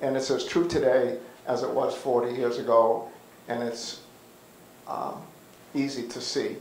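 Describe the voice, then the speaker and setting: With an American accent and medium pitch, a man talks at a fairly slow pace with fairly even intonation, and audible room echo is present. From Massachusetts, Boston area. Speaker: panelist and community leader; panelist. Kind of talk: panel discussion and reminiscence. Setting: community center with audience. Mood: warm, reminiscing. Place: hall. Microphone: handheld.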